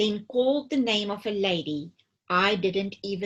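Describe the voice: Plain reading aloud with ordinary pitch variation comes through over a quiet background.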